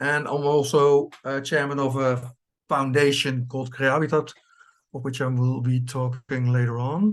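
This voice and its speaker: A man's medium-pitched voice in a Dutch accent, monotone and flat in intonation. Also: moderate pace. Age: 50s. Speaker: cooperative farm chairman. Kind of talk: presentation. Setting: video call. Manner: halting.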